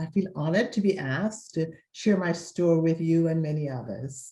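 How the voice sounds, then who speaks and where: With a slight Jamaican accent, a woman speaks at a moderate pace using lively intonation. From Jamaica (Mandeville, Kingston area). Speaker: interviewee sharing life story. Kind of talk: interview, personal testimony.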